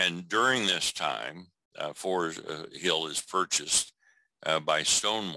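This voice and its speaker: Speaking at a very slow pace, a man with a very deep, low pitch shows vocal fry and a bright, sharp tone. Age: 70s. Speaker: mortuary school educator and funeral director. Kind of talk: interview storytelling.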